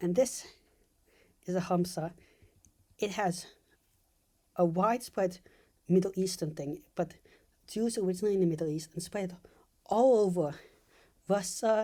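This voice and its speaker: A woman with a medium pitch and a dark, mellow tone speaks with long, frequent pauses. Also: ordinary pitch variation, moderate pace. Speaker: video essayist. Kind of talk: casual commentary monologue. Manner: halting; less energetic than usual.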